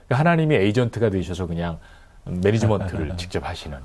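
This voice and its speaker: Somewhat breathy and dark, mellow in tone, a man speaks at a fairly low pitch and fairly quick pace with lively intonation. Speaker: voice actor. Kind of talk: interview answer.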